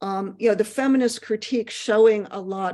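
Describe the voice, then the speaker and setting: With a fairly high pitch, a woman talks using ordinary pitch variation. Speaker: economics professor. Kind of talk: casual chat. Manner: fast.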